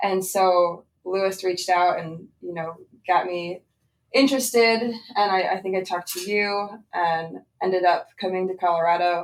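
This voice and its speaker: With a slight Pennsylvania accent, a woman talks at a moderate pace with fairly even intonation. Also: medium pitch for a woman. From Southeast Pennsylvania. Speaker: cattle herdsman, former farm apprentice. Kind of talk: podcast interview.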